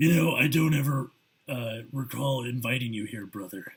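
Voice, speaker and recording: The voice is a raspy, put-on character voice. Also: man, medium pitch for a man, moderate pace. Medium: read story. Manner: stern, grim.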